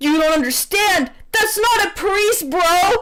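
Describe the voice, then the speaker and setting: Shouting in a put-on character voice at an extremely high pitch, a woman speaks at a fairly slow pace over clear background noise. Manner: shouting, urgent.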